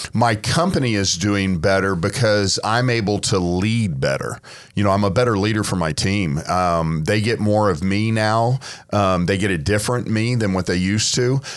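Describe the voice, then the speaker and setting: An ordinary speaking voice from a man, fairly low in pitch, at a moderate pace and very even loudness. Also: ordinary pitch variation. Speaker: auctioneer and car auction founder. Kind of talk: casual podcast conversation.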